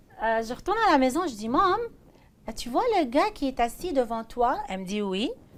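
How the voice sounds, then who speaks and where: Her pitch is high and swings very widely as this woman talks at a moderate pace. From Iraq (Baghdad). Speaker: pastor's wife. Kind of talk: testimony.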